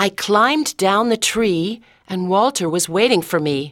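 The voice reads naturally. Its pitch rises and falls in an ordinary way.

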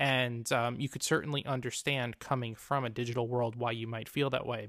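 A man with a plain, everyday voice and medium pitch speaks at a moderate pace with fairly even intonation, in a dry, close sound with no echo on a very clean recording with a silent background. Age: 30s. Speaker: nonprofit fundraising podcast host. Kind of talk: solo podcast commentary. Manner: frequent filler words and restarts.

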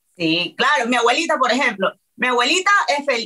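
The woman talks at a fairly quick pace. Her tone is animated and her intonation lively. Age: 30s. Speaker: reality TV personality. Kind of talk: casual chat.

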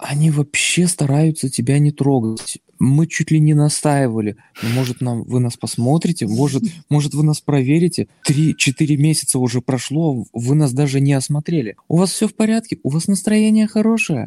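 Dry and close with no echo, a man's dark, mellow voice moves at a moderate pace with lively intonation. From Baltic states. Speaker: new father. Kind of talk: casual interview.

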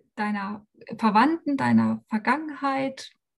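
A woman is speaking. Her voice sits fairly high in pitch. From former East Germany. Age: 40s. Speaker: life coach. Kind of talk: podcast interview.

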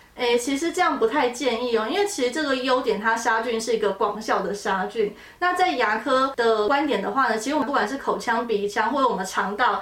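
Against noticeable background noise, a woman speaks quickly-ish, at a fairly quick pace, with lively intonation and a fairly high pitch. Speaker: dermatologist. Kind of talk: educational podcast chat.

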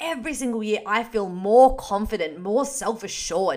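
In an Australian accent, a woman with a fairly high pitch speaks at a moderate pace with lively intonation and an animated tone, in a very clean recording over a silent background. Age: 20s. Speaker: podcast host and fitness coach. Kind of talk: casual solo chat.

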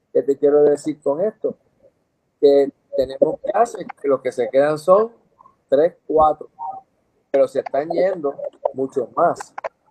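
A man at a fairly slow pace with long, frequent pauses, in a dry, close sound with no echo. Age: 60s. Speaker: dentist. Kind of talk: interview.

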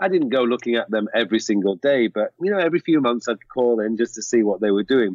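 A man speaks at a fairly quick pace with a medium pitch and lively intonation, in an ordinary speaking voice. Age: 40s. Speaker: productivity coach and author. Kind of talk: casual interview.

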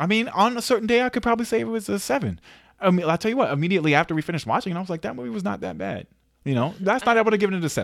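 Very wide pitch swings and a very fast pace come through on a very clean recording with a silent background. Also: man, high pitch for a man. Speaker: podcast co-host. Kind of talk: casual chat. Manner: little pitch variation, working on inflection.

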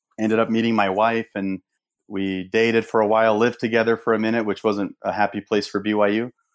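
In a very clean recording with a silent background, a man with a Portuguese accent speaks at a moderate pace and medium pitch with monotone, flat intonation. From Brazil. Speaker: veterans nonprofit founder and former pro soccer player. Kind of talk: casual interview.

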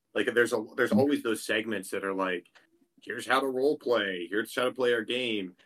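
A man speaks at a medium pitch and a fairly quick pace in an ordinary speaking voice. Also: ordinary pitch variation. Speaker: podcast co-host, game master. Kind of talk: casual chat.

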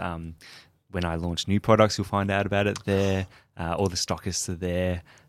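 In an Australian accent, a man speaks with a very deep, low pitch and flat, monotone intonation. The recording is very clean, with a silent background. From Melbourne, Australia. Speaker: chef and food business founder. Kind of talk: interview.

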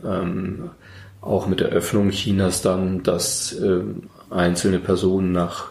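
Speaking at a very slow pace, a man with a fairly low pitch is heard with audible room echo. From Berlin, Germany. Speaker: violin maker. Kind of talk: interview. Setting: workshop.

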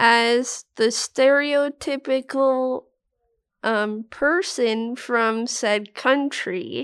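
Recorded very cleanly against a silent background, with a dry, close sound and no echo, a woman speaks very slowly in a high pitch with ordinary pitch variation. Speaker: podcast co-host, journalism graduate. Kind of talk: casual chat. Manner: hesitant.

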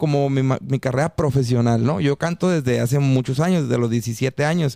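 A dark, mellow male voice, recorded dry and close without any echo. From Mexico, Mexicali (Baja California). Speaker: singer. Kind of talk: casual chat.

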